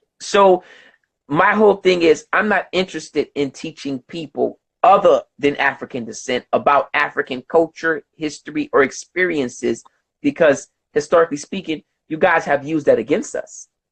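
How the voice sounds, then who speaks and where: A man with an American accent and a normal speaking voice talks at a moderate pace and fairly high pitch, with ordinary pitch variation and a dry, close sound with no echo. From United States. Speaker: host of online discussion. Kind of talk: debate. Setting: video conference.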